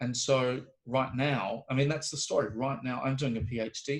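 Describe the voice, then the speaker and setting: A man with a New Zealand accent speaks with medium pitch, fairly even intonation and a somewhat breathy voice. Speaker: homeopathy professor. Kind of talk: interview conversation. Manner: halting, many fillers and restarts.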